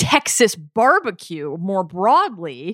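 A woman with an American accent is captured in a very clean recording with a silent background, the sound dry and close with no echo. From US East Coast (Baltimore). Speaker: podcast guest, food enthusiast. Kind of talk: casual chat.

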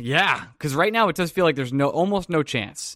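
A Long Island accent at a moderate pace in a very clean recording with a silent background. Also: man. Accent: Long Island New York. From Long Island, New York. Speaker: podcast host. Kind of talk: casual sports podcast banter.

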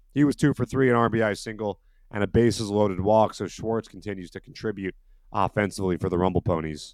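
A man with a fairly low pitch and ordinary pitch variation talks at a very fast pace on a very clean recording with a silent background, the sound dry and close with no echo. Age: 30s. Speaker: baseball podcast co-host. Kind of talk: casual sports podcast chat.

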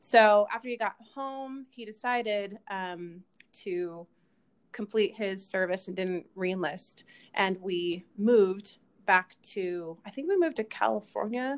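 Using a plain, everyday voice, a woman with an American accent speaks at a fairly slow pace with ordinary pitch variation and big swings in loudness. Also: medium pitch for a woman. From Utah, Kaysville. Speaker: actress and activist. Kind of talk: casual interview.

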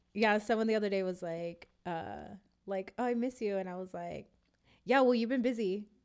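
With an American accent, a woman speaks at a moderate pace and medium pitch in a plain, everyday voice with ordinary pitch variation. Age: 20s. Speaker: podcast host. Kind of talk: casual chat; show intro and outro.

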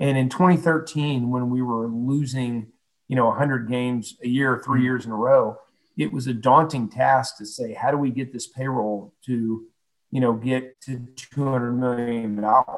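Using fairly even intonation, a man with an American accent talks at a fairly slow pace. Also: medium pitch for a man. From Houston, Texas. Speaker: former baseball club president. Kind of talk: interview. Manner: halting, many fillers.

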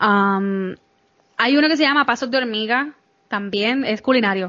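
An unremarkable speaking voice from a woman, fairly high in pitch, with ordinary pitch variation at a moderate pace. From Puerto Rico. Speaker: podcaster guest. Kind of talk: casual interview chat.

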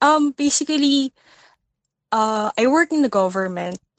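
A woman with a Filipino accent speaks in a high voice. Her intonation is lively and her pace moderate. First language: Tagalog. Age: 20s. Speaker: listener caller seeking advice. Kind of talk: casual chat. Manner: halting, many fillers.

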